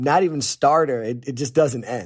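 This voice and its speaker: A man with an American accent and a normal speaking voice talks at a moderate pace and medium pitch, with ordinary pitch variation. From Northeast Pennsylvania. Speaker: chef. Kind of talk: casual chat. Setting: remote, in the Bahamas.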